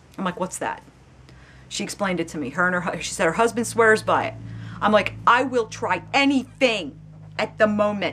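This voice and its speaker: A woman's bright, sharp voice with vocal fry, an animated tone and lively intonation, at a moderate pace. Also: medium pitch for a woman. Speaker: video blogger. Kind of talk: casual chat.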